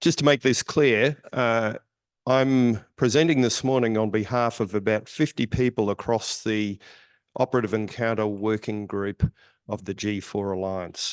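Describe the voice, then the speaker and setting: Recorded dry and close with no echo over a quiet background, a man with an Australian accent talks at a moderate pace with ordinary pitch variation. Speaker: surgeon. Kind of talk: conference presentation.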